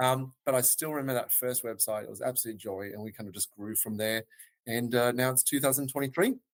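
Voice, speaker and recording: With an Australian accent, a man speaks very fast at a medium pitch, his intonation fairly even, his loudness swinging widely, and the sound dry and close with no echo. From Australia, Melbourne. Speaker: web design agency founder. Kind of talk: podcast interview. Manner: hesitant with fillers.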